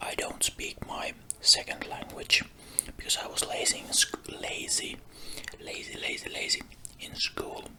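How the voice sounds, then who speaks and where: Whispering in a non-native accent, the speaker goes at a fairly slow pace with long, frequent pauses over noticeable background noise. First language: not English. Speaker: ASMR creator. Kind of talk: ASMR rambling about a collection. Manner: soft-spoken.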